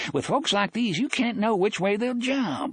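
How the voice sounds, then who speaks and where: Putting on a character voice, a man sounds shrill and shaky at a moderate pace. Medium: read story. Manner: drawling, sly, folksy.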